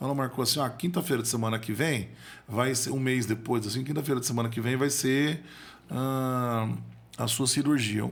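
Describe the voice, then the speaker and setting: A man at medium pitch, with a fairly quick pace. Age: 40s. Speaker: motivational speaker and accountant. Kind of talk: podcast interview storytelling. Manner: halting, repeats words.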